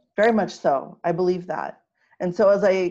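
A woman with an American accent has an ordinary speaking voice at a fairly low pitch. Her intonation is fairly even, and the background is quiet. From Los Angeles, Filipino heritage. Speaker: spiritual healer. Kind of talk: casual interview.

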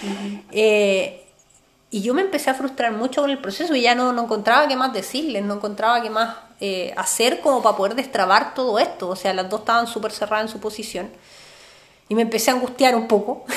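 Fairly quick speech from a woman with a fairly high pitch and ordinary pitch variation, plus noticeable background noise. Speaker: podcast co-host, therapist. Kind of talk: casual chat.

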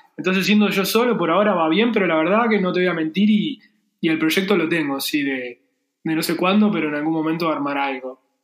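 A man's high pitch with ordinary variation, at a fairly quick pace. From Argentina. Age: 30s. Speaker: freelance 3D graphic designer. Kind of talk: casual interview chat. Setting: remote call.

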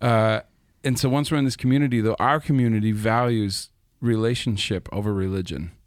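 In a plain, everyday voice, the speaker moves at a fairly quick pace with ordinary pitch variation and very even loudness, on a very clean recording with a silent background. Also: man, medium pitch for a man. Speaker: podcast host and church leader. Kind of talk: casual discussion.

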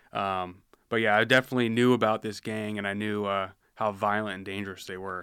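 A man with an American accent talks at a very fast pace in a fairly low pitch, his tone bright and sharp. His intonation is monotone and flat, his loudness swings widely, and the recording is very clean with a silent background. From rural Washington State, US. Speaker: police officer. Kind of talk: casual interview. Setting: studio.

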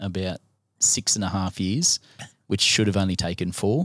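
A man with an Australian accent and fairly low pitch comes through a very clean recording with a silent background and a dry, close sound with no echo. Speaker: sports chaplain. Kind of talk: casual chat.

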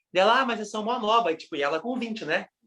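A man with a Brazilian accent speaks in a raised, projected voice at a high pitch. His tone is bright and sharp, with lively intonation. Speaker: podcast co-host. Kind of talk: casual chat.

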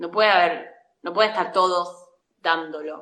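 Her tone is bright and sharp, and this woman talks with an Argentine accent at a fairly low pitch with fairly even intonation. Room echo can be heard. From Argentina, La Pampa. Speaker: actress and acting teacher. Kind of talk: casual interview.

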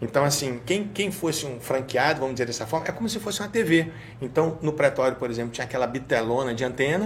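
Lively intonation marks a man speaking with a Rio de Janeiro accent. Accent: carioca. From Rio de Janeiro, Tijuca. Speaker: state security secretary and law professor. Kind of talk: casual interview.

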